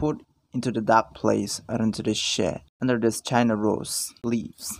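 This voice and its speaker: A man delivers his words at a very slow pace. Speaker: vlogger. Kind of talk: casual vlog narration. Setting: outdoors. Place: garden. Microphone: phone near.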